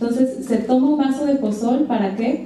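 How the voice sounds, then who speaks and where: A woman at a fairly quick pace, with audible room echo and light background noise. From Mexico, Comalcalco, Tabasco. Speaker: chef. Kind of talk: lecture. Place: hall.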